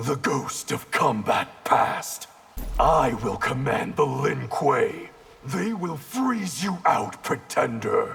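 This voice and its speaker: A man growls in a put-on character voice at a fairly high pitch. He speaks at a very slow pace. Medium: short film. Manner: cold, terse.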